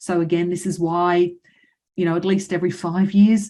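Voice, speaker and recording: The speaker has a dark, mellow tone and an Australian accent. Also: woman. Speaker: financial adviser. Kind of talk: webinar presentation. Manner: fast; hesitant fillers.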